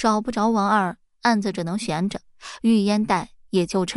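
A natural voice reading aloud

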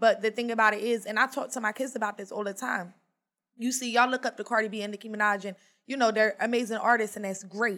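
In a very clean recording with a silent background, a woman with an American accent talks at a very fast pace in a bright, sharp tone with monotone, flat intonation. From US, small rural town. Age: 30s. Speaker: youth mentor. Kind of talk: casual chat.

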